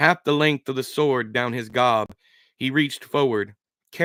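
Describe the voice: Plain reading aloud comes across over a quiet background.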